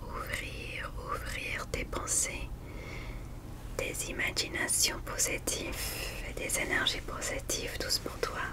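Loud background noise fills the recording. Through it, a woman speaks softly. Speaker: ASMR creator. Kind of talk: soft-spoken guided relaxation. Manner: soft, hushed ASMR murmur. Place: home room.

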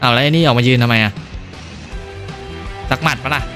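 Music plays behind a man with a medium pitch and a playful tone. His intonation stays fairly even. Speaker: gaming YouTuber. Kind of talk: horror game let's play commentary with Thai dubbing of dialogue. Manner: casual, playful.

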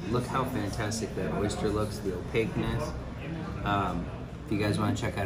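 Loud background noise fills this recording. Through it, a man talks at a moderate pace. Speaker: travel food vlogger. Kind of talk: casual vlog chat. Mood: relaxed, appreciative. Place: bar. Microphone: phone near.

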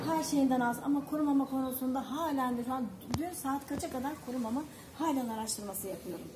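Over noticeable background noise, a woman speaks at a fairly quick pace in a high pitch. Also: ordinary pitch variation. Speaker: animal rescuer. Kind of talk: casual chat. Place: street.

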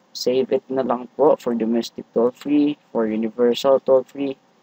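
A man with a fairly high pitch speaks at a fairly slow pace. The sound is dry and close, with no echo. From Visayas, Philippines. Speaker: tech YouTuber. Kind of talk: tutorial. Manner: halting.

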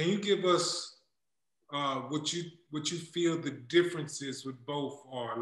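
Audible room echo surrounds a man talking at a moderate pace. His pitch is fairly high, his intonation fairly even. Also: quiet background. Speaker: podcast host. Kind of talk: casual chat. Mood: friendly, joking. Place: home room. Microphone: video call.

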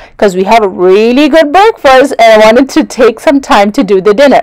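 The background is quiet. A woman speaks at a moderate pace. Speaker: travel vlogger. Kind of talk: casual vlog chat. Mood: cheerful, enthusiastic. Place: car.

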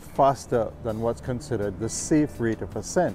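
Faint background music accompanies a man whose speech has ordinary pitch variation and a dry sound with no echo. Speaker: scuba diving instructor or hobbyist. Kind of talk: tutorial. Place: waterside.

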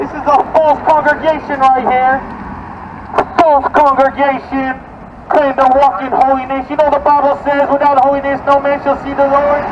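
A man speaks loudly at a moderate pace in an extremely high pitch, his intonation flat and monotone, with noticeable background noise. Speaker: street preacher. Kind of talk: street preaching, loud, confrontational. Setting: outdoors. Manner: loud, fervent, urgent. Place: street. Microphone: camera far.

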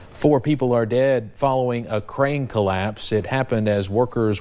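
A man with an ordinary speaking voice, pitched in the middle of his range, talks at an even-handed tempo and varies his pitch normally. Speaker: news anchor. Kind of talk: news reading. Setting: studio. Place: studio. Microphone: lapel.

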